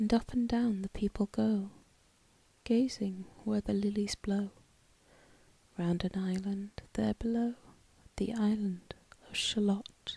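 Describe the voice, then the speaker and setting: A soft-spoken woman whispers at a very slow pace in a somewhat breathy, soothing tone, with long, frequent pauses and a dry, close sound with no echo. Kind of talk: whispered poetry reading. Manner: whispered, soft-spoken, soothing.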